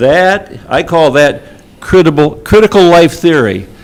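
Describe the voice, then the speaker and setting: Over noticeable background noise, a man talks at a moderate pace with an American accent. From Michigan. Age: 70s. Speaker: public commenter at school board meeting. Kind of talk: public comment speech. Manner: animated.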